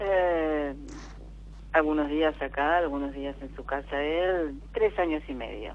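A woman speaks at a very slow pace. Her loudness swings in big jumps. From Buenos Aires, Argentina. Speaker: caller. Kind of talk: phone-in conversation.

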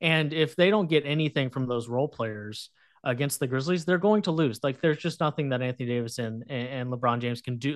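A man speaks in an ordinary speaking voice, fairly high in pitch, with ordinary pitch variation. He keeps a moderate pace over a quiet background. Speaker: sports journalist guest. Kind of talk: casual sports chat.

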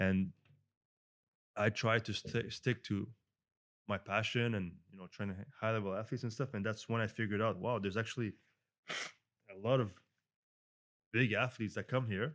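A man with a French Canadian accent, fairly low in pitch, his intonation fairly even and broken by long, frequent pauses. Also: moderate pace, very clean recording, silent background. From Montreal, Canada. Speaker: celebrity fitness coach. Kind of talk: casual interview conversation. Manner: conversational, hesitant with fillers.

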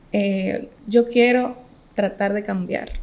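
At a very slow pace, a woman talks at medium pitch amid noticeable background noise. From Dominican Republic, Montecristi. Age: 20s. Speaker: medical graduate. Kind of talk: casual interview.

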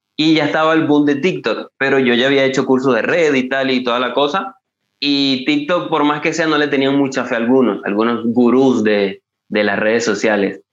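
This is a man's voice at medium pitch. Its pitch variation is ordinary. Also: moderate pace. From eastern Venezuela. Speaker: football TikToker. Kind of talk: casual interview chat. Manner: halting, with many fillers and repetitions.

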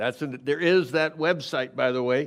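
A man's fairly high voice with ordinary pitch variation, on a very clean recording with a silent background. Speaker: retired lay preacher. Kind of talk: sermon. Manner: halting.

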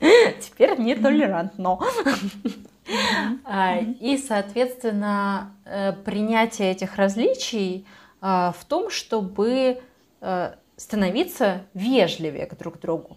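A woman with a fairly high, somewhat breathy voice speaks at a very slow pace with lively intonation and big swings in loudness, in a very clean recording with a silent background. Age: 20s. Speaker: psychologist, podcast co-host. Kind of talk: casual chat.

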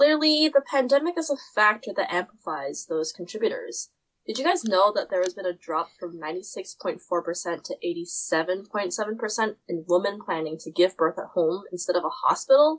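Very wide pitch swings at a fairly slow pace. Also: woman, medium pitch for a woman. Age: young. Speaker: student podcast host. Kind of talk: scripted academic discussion.

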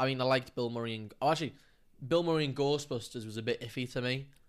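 In an English accent, a man at medium pitch speaks at a very fast pace. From England. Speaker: film podcast co-host. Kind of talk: casual chat.

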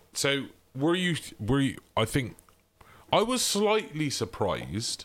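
A man with a fairly high pitch and vocal fry speaks at a very slow pace, his pitch swinging very widely between long, frequent pauses. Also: very even loudness. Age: 30s. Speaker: podcast co-host. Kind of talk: casual chat. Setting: remote recording.

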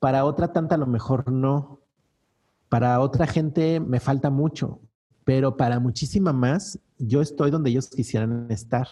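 Somewhat breathy, with a dark, mellow tone, a man of medium pitch talks at a fairly slow pace with ordinary pitch variation. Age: 40s. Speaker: business coach. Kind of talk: interview.

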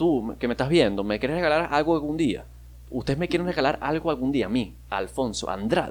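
A man with a fairly high pitch speaks in an animated tone. His intonation is lively. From Venezuela, Maracaibo. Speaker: podcaster. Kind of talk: casual monologue.

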